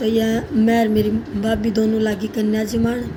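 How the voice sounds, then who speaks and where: Both an audible room echo and noticeable background noise are present in the recording. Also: woman. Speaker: vlogger. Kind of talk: casual vlog narration.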